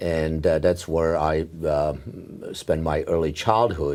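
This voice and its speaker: In a Czech accent, a man speaks at a moderate pace with a very deep, low pitch and a dark, mellow tone. His intonation stays fairly even on a very clean recording with a silent background. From Czechoslovakia. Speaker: neurologist. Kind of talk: oral history interview. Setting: medical congress. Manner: halting, many fillers.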